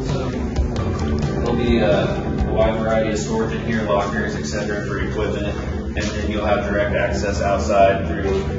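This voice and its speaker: A man's voice with hardly any pauses, audible room echo, and music in the background. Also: moderate pace. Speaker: faculty tour guide. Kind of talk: guided tour explanation. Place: hall.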